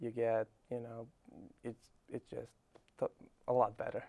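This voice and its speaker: This man speaks at a moderate pace in a medium pitch with a Serbian accent, his dark, mellow tone held in a flat monotone. The sound is dry and close, with no echo. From Serbia, Belgrade. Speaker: college tennis player. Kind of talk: interview.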